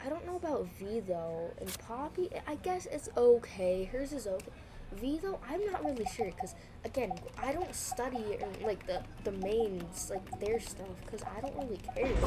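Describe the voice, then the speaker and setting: Very wide pitch swings at a moderate pace, over noticeable background noise. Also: woman, fairly high pitch for a woman. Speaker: gaming streamer. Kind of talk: gameplay commentary. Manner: animated.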